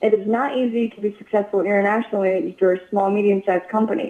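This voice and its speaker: A woman with a Chinese accent speaks in a fairly high voice. Her tone is dark and mellow. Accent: Chinese-accented American English. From China (Inner Mongolia), moved to US at 14. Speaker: sales manager at a manufacturer. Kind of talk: interview. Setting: podcast.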